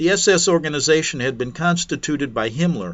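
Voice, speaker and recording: An unremarkable speaking voice belongs to a man with a fairly high pitch. He talks at a moderate pace with lively intonation. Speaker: talk radio host. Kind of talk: talk radio monologue.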